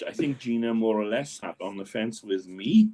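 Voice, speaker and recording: With a Welsh accent, a man speaks at a medium pitch. His pace is moderate and his intonation fairly even. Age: 70s. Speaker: local sports correspondent. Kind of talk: casual chat.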